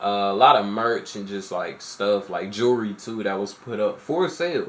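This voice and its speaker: This man's voice sits fairly low in pitch. He talks at a fairly slow pace. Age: 20s. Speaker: music reaction youtuber. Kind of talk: casual reaction commentary. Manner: casual, filler-heavy.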